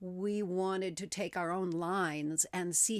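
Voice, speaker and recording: On a very clean recording with a silent background, a woman with a plain, everyday voice speaks at a fairly low pitch with ordinary pitch variation. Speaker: spiritual content creator. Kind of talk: casual talk to camera. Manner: conversational, friendly, with filler words.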